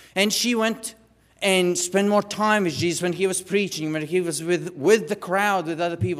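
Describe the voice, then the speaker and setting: A man speaks with a high pitch. His pace is moderate. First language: not English. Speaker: lay preacher. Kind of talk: sermon. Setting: church. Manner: halting.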